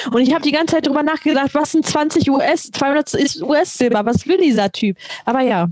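A woman with a high pitch talks at a fairly quick pace, her loudness very even throughout. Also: lively intonation. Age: 20s. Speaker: podcast co-host. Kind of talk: casual chat.

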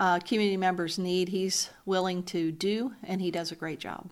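A woman with an American accent speaks at a fairly slow pace and medium pitch in an ordinary speaking voice, on a very clean recording with a silent background. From US South, South Louisiana. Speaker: hospital executive. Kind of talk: interview.

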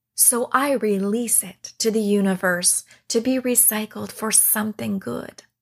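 A woman talks at a fairly slow pace in a plain, everyday voice. Her intonation stays fairly even on a very clean recording with a silent background. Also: fairly high pitch for a woman. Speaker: meditation guide. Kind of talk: guided meditation with affirmations. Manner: calm, slow, soothing.

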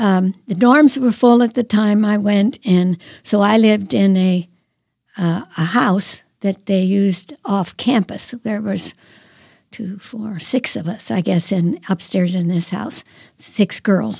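A somewhat breathy woman's voice with an American accent, medium pitch, ordinary pitch variation and a very slow pace. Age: 80s+. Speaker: church member sharing testimony. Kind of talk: testimony.

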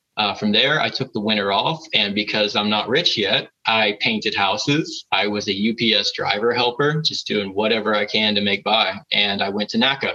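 This man has an unremarkable speaking voice, fairly low in pitch, with an American accent. He keeps a moderate pace with hardly any pauses, very even loudness and ordinary pitch variation. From US South (Florida). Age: 20s. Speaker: new insurance adjuster. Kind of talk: casual coaching conversation.

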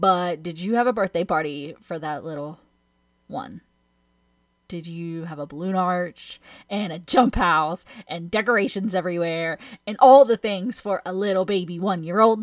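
A woman with an American accent, fairly low pitch, ordinary pitch variation and a moderate pace, with big swings in loudness on a very clean recording with a silent background. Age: 30s. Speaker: money coach, podcast host. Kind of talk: solo podcast monologue. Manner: animated.

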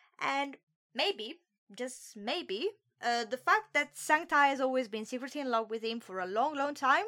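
A woman with an Italian accent, raised and projected, high in pitch with a bright, sharp tone, lively intonation, fairly slow pace, on a very clean recording with a silent background. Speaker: solo podcast host reviewing webtoons. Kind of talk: casual comedic monologue. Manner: animated.

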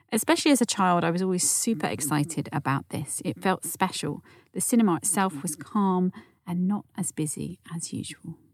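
This is a plain, everyday voice from a woman, fairly low in pitch. She talks at a moderate pace with lively intonation. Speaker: podcast host. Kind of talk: scripted narration. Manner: warm, soothing, calm.

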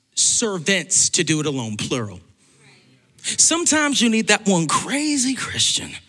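The speaker has an animated tone at a fairly slow pace. Music plays in the background. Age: 30s. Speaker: preacher. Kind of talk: sermon.

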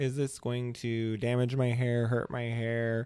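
This speaker has an American accent and a plain, everyday voice, talking at a fairly slow pace. The recording is very clean, with a silent background. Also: man. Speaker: salon owner and podcast host. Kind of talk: casual chat.

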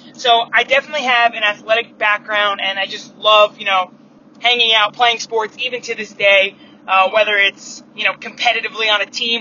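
Against noticeable background noise, a woman with a New York accent talks at a moderate pace with fairly even intonation. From Long Island, New York. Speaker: basketball coach and former college player. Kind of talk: casual monologue. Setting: in a car. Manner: casual, many filler words. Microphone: phone recording.

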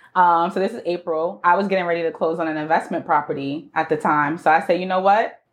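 A woman with an American accent speaks at a fairly quick pace. She has a normal speaking voice at a medium pitch. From New York City, the Bronx. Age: 30s. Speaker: entrepreneur, former nurse. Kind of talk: interview.

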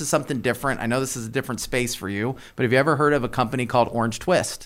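Speech comes at a very fast pace with an American accent and ordinary pitch variation. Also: man. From Southern California. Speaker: company executive. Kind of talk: interview. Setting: studio.

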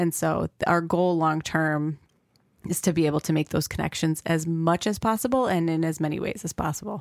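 A woman with an American accent speaks at a fairly low pitch with ordinary pitch variation, in an unremarkable speaking voice, on a very clean recording with a silent background. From Rochester, New York. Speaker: pediatrician and nonprofit founder, podcast co-host. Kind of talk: interview (being interviewed by co-host).

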